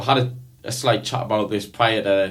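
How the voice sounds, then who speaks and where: A man with a Geordie accent, fairly low pitch, fairly even intonation and a moderate pace, in audible room echo. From northeast England, near Newcastle. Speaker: podcast co-host. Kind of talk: casual chat. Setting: studio.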